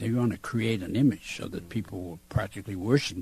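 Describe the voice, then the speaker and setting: Speaking at a medium pitch with an American accent, a man has a dark, mellow, somewhat breathy tone and ordinary pitch variation. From Massachusetts, US. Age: 70s. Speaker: war veteran. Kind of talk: interview. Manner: halting.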